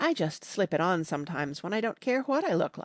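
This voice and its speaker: A raspy, put-on character voice, female-sounding and medium-pitched, at a fairly quick pace over a quiet background. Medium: read story. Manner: affected, haughty.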